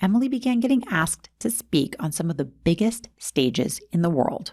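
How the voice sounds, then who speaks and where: At a moderate pace, a woman speaks in a somewhat breathy voice of medium pitch. Her pitch swings very widely. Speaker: podcast host. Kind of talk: documentary-style story narration.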